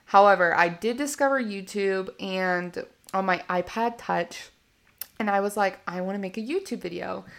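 The speaker has an American accent and a moderate pace with ordinary pitch variation. The recording is very clean, with a silent background. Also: woman, medium pitch for a woman. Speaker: podcast host. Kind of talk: casual monologue. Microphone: slight echo, first podcast audio.

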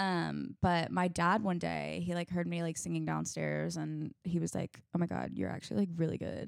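The sound is dry and close, with no echo. The pace is moderate. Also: woman. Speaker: singer-songwriter. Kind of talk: casual chat. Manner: uses many fillers.

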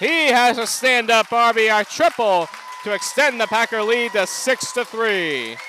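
A man's raised, projected voice at an extremely high pitch with ordinary pitch variation, music playing in the background. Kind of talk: live sports commentary.

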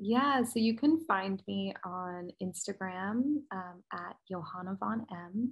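A woman speaks very slowly with an American accent, her medium-pitched voice somewhat breathy. Her intonation is lively and her loudness swings widely. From US, New Jersey. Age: 30s. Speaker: branding business owner. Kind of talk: casual interview.

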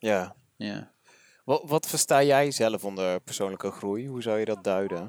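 This man's voice sits fairly low in pitch. The pitch moves around in an ordinary way. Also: fairly slow pace. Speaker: podcast host, interviewer. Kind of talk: casual interview. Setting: walking outdoors in a park.

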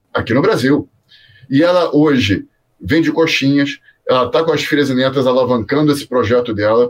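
Here is an unremarkable speaking voice with ordinary pitch variation, moving at a moderate pace. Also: man, fairly high pitch for a man. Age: 50s. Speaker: career mentor. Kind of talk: interview. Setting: video call.

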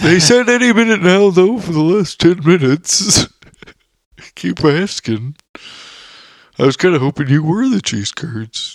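Using a put-on character voice with a high pitch, a man speaks at a moderate pace broken by long, frequent pauses. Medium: stage play. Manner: cheery, unbothered, folksy.

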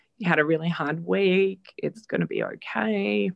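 A woman with an Australian accent speaks at a fairly slow pace, her voice dry and close with no echo. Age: 40s. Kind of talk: personal testimony. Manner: hesitant, many fillers.

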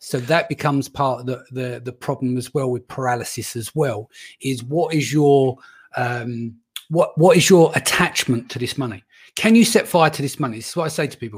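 A man's voice is fairly high and somewhat breathy, with ordinary pitch variation, at a moderate pace. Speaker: podcast host. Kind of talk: interview. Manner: casual, swears.

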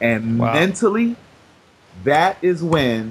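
Amid noticeable background noise, a man with an American accent speaks at a fairly slow pace. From Brooklyn, New York. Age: 30s. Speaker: weight-loss success story, author. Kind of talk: interview. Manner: animated.

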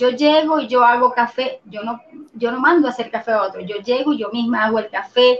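High pitch from a woman, fairly even in intonation, moving at a moderate speed. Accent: Venezuelan. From Venezuela. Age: 40s. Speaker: systems engineer and organizational consultant. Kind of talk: interview.

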